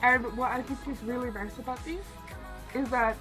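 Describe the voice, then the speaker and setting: Over background music, a woman with a high pitch speaks in an excited tone. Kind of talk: casual talk to camera. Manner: excited, chatty.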